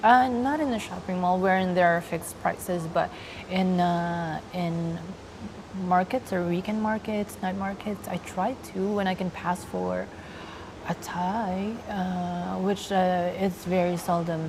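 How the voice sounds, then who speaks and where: Soft-spoken, a woman talks at a fairly slow pace and medium pitch with fairly even intonation, noticeable background noise behind her. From Philippines, Laguna province. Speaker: transgender woman and actress interviewed. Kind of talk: interview. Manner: hesitant, many fillers.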